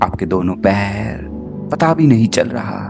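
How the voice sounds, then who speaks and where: A man with a fairly low pitch speaks in a calm, soothing tone with lively intonation, while music plays in the background. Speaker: spiritual healer and meditation guide. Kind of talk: guided meditation. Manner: slow, calm, soothing.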